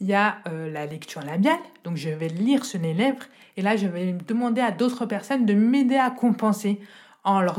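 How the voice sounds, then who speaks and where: At a moderate pace, a somewhat breathy woman talks with lively intonation and a fairly high pitch. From France, rural village. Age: 30s. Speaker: deaf accessibility advisor. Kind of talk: testimony. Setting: home recording.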